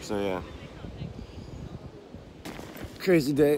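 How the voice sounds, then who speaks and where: A man speaks with ordinary pitch variation and a dry sound with no echo. Noticeable background noise can be heard. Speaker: vlogger. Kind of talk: casual vlog chat. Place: beach. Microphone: phone near.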